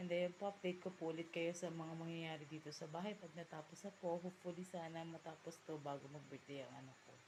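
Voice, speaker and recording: This woman's voice is fairly low-pitched and somewhat breathy, with monotone, flat intonation. She talks at a very fast pace. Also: hardly any pauses. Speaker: vlogger and field representative. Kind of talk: casual home vlog. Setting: at home.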